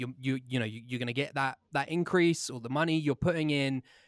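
On a very clean recording with a silent background, a man with an English accent speaks at a fairly high pitch. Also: dry, close sound with no echo. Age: 20s. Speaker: podcast host. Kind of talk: casual interview chat.

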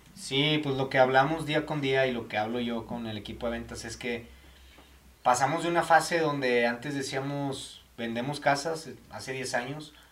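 In a room with audible echo, a man at a medium pitch talks at a moderate pace, with fairly even intonation and big swings in loudness. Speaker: podcast host for a home builder. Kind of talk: casual interview.

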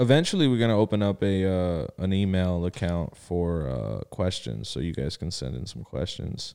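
A man with a very deep, low pitch and a dark, mellow tone speaks at a moderate pace with hardly any pauses. His pitch swings very widely, and the recording is very clean with a silent background. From South Florida (Miami), born in Connecticut. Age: 20s. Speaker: podcast co-host. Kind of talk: casual chat.

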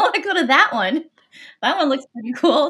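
A woman with an American accent uses a raised, projected voice with a bright, sharp tone. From US West Coast, Los Angeles. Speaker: music industry marketing executive. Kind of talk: interview.

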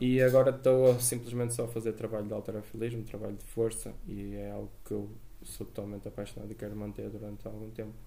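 Speech comes very fast, its loudness swinging widely, with audible room echo around it. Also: man. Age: 20s. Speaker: personal trainer and CrossFit coach. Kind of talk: podcast interview.

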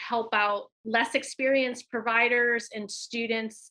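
A woman with an American accent talks at a fairly slow pace in a bright, sharp tone, her fairly high pitch held in monotone, flat intonation. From US, Michigan. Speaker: nurse practitioner and nursing educator. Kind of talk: interview.

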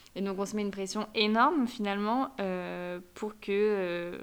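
An unremarkable speaking voice from a fairly high-pitched woman, ordinary pitch variation, in a very clean recording with a silent background. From France, Savoie (Aix-les-Bains). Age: 20s. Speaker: student, host's best friend. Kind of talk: casual interview chat.

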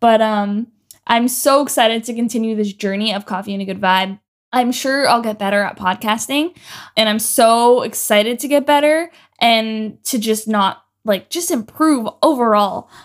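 A woman with a Canadian accent and a normal speaking voice talks at a moderate pace and a fairly high pitch, with ordinary pitch variation, in a very clean recording with a silent background. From Canada, Ontario. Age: 20s. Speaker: podcast host. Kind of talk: solo podcast monologue.

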